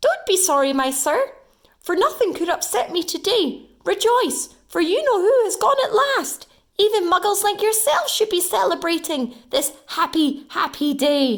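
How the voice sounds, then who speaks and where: Using a put-on character voice, a woman speaks loudly and projects, her squeaky voice pitched extremely high with very wide swings, at a moderate pace. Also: very even loudness. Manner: gleeful, jubilant.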